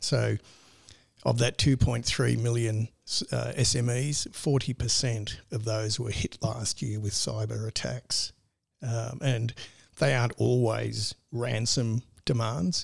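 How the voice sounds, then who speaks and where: Over a silent background in a very clean recording, a man with an Australian accent talks at a very slow pace. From rural northern Victoria, Australia. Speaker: cybersecurity business owner. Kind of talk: interview.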